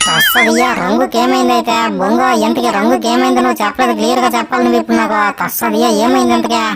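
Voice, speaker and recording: A man performs a put-on character voice at a moderate pace. Loud background noise runs behind him. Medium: fan dub. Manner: keeps saying one rustic catchphrase.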